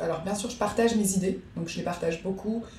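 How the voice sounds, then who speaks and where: There is audible room echo and noticeable background noise as a woman speaks at a fairly quick pace with ordinary pitch variation. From Belgium, rural. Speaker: hotel owner. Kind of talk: casual chat. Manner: hesitant, many fillers.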